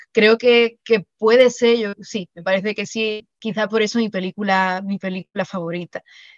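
A woman talks in a normal speaking voice at medium pitch and a moderate pace, with fairly even intonation and hardly any pauses. Her loudness swings widely, and the sound is dry and close with no echo. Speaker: writer and secondary school teacher. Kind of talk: interview.

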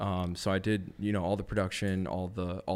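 In a very deep, low pitch, a man speaks with an American accent and monotone, flat intonation. The recording is very clean, with a silent background. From US Midwest, Madison, Wisconsin. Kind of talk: casual interview chat.

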